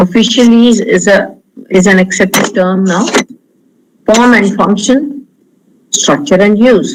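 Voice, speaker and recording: With an Indian accent, the speaker talks at a fairly slow pace. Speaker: linguistics professor. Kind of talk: lecture.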